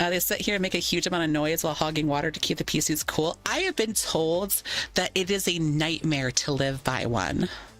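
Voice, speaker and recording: A woman with a very deep, low pitch speaks fairly quickly in an animated tone, with ordinary pitch variation and very even loudness. Noticeable background noise sits behind her. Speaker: VR streamer. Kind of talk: casual livestream chat. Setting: live stream. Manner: animated, rambling with restarts.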